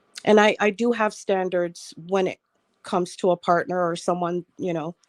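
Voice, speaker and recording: Her voice is an unremarkable speaking voice, a woman at medium pitch speaking at a moderate pace with fairly even intonation. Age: 60s. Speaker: panelist on online talk show. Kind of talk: casual panel discussion.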